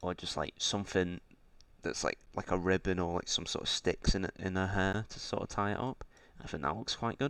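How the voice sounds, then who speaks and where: Speaking at a fairly quick pace, a man with a very deep, low pitch uses ordinary pitch variation. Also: very clean recording, silent background. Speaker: indie game developer. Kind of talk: casual tutorial-style dev diary. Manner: hesitant, many fillers.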